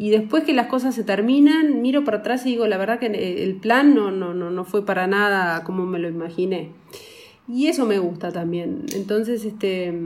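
At a moderate pace, a woman speaks in a normal speaking voice with a medium pitch. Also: lively intonation. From rural Uruguay. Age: 40s. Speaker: film producer. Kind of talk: casual chat. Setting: office, remote call.

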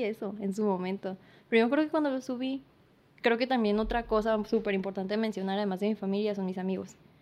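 A woman with an ordinary speaking voice talks at a fairly quick pace, her fairly high pitch held in a fairly even intonation. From San Luis Río Colorado, Sonora, Mexico. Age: 20s. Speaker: painter and makeup artist. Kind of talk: casual interview chat.

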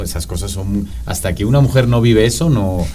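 Amid noticeable background noise and audible room echo, a man speaks at a fairly quick pace. His intonation is lively. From Spain, Madrid. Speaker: professor. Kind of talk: casual chat.

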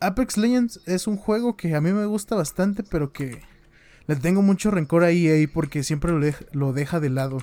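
A man with a Mexican accent has a high pitch, a dark, mellow tone and lively intonation, and he speaks at a moderate pace. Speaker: gaming podcast co-host. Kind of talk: casual chat. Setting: live stream.

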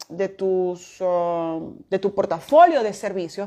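Against a quiet background, a woman talks at a very slow pace in a dark, mellow tone. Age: 40s. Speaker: business mentor and podcast host. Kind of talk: recorded online masterclass.

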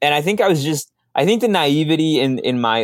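Lively intonation at a moderate pace, in a Spanish accent. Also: man. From Minneapolis, Minnesota (moved from Mexico at seven). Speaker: social media strategist. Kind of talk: interview.

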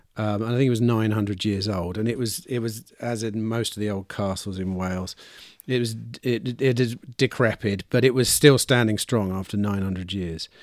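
Here is an unremarkable speaking voice from a man, fairly low in pitch. He talks at a moderate pace with fairly even intonation. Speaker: podcast host. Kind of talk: casual interview chat. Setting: video call.

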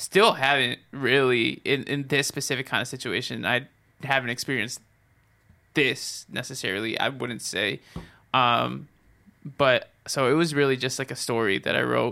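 With an American accent, a man at medium pitch talks at a moderate pace in a bright, sharp tone with vocal fry and fairly even intonation, recorded very cleanly against a silent background. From US, Mexican and Salvadoran heritage. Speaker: musician and podcast host. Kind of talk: casual chat. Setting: home studio shed.

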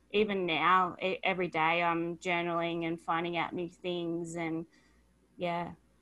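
On a very clean recording with a silent background, a woman speaks very slowly in a fairly low pitch, her tone bright and sharp and her intonation monotone and flat. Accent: Australian. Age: 20s. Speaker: author and life coach. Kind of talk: interview.

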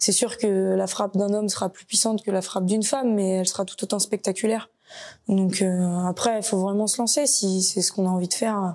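A woman's dark, mellow voice moves at a fairly quick pace, medium in pitch and fairly even in intonation. The recording is very clean and the background silent. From France, Nantes. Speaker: footballer and sports shop employee. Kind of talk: interview.

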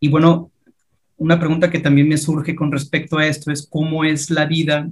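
At a moderate pace, a man speaks in a somewhat breathy voice. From Mexico. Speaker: podcast host. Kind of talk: casual interview.

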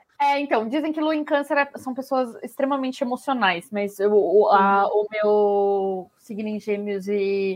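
A woman with an unremarkable speaking voice and a fairly high pitch speaks at a fairly slow pace with ordinary pitch variation. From Brazil. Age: 20s. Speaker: podcast co-host. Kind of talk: casual chat.

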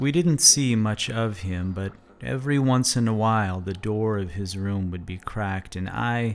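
Heard in a very clean recording with a silent background, a man talks at a fairly slow pace in a normal speaking voice, at a fairly low pitch with ordinary pitch variation. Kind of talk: ghost story told in first person, solemn personal narration. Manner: hushed, slow and measured, building eerie suspense; reflective and earnest.

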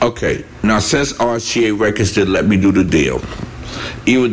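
A man at a very slow pace, ordinary pitch variation, audible room echo and noticeable background noise. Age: 60s. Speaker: podcast host. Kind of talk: casual interview. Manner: animated.

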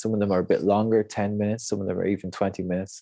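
On a very clean recording with a silent background, a man with an Irish accent speaks in a dark, mellow tone at a fairly low pitch with fairly even intonation. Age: 40s. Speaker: breathwork coach. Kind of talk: interview conversation.

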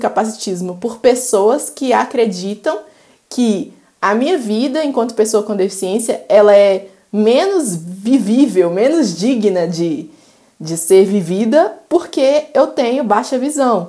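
A woman's fairly high voice, lively in intonation, at a very slow pace. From Belo Horizonte, Minas Gerais, Brazil. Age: 20s. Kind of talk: casual interview chat. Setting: recorded at home.

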